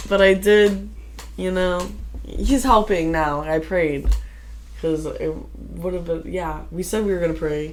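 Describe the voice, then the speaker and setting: Against noticeable background noise and audible room echo, a woman talks at a fairly slow pace with long, frequent pauses. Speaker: podcast co-host. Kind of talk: casual chat. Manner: loud.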